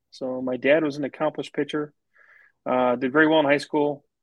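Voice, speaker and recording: A man with a plain, everyday voice, fairly high pitch, and a fairly quick pace. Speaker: business development professional and wine enthusiast. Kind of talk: casual interview chat.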